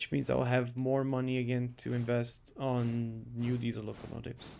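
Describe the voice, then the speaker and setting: A man with a non-native accent, medium pitch, a dark, mellow tone, monotone, flat intonation and a moderate pace. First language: not English. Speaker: streamer. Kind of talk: live gaming stream. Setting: live stream. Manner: casual, thinking aloud.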